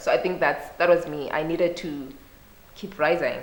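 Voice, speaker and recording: A woman talks at a fairly quick pace in a fairly low, monotone, flat voice. Noticeable background noise and audible room echo fill the recording. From Zimbabwe, Bulawayo. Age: 20s. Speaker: youth and women's rights advocate. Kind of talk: interview.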